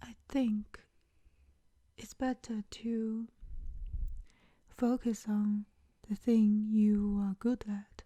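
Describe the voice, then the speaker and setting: Very slow and monotone, with flat intonation, a woman speaks in a fairly high, somewhat breathy voice with a dark, mellow, soothing tone, big swings in loudness and long, frequent pauses. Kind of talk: ASMR comfort talk.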